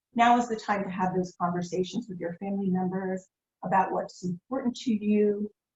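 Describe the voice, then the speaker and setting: A woman with an American accent talks in a normal speaking voice, at a medium pitch with fairly even intonation. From Philadelphia. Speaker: nonprofit foundation executive. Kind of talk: interview.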